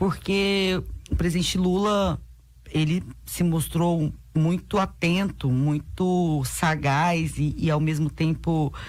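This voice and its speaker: Her pitch is very deep and low. The woman speaks at a very slow pace with fairly even intonation. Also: very even loudness. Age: 30s. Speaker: city councillor, politician. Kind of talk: radio interview.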